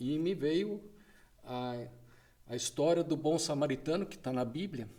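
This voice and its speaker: A man with a fairly high pitch and a dark, mellow tone speaks at a fairly slow pace with ordinary pitch variation. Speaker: drug policy association president. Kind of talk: podcast interview.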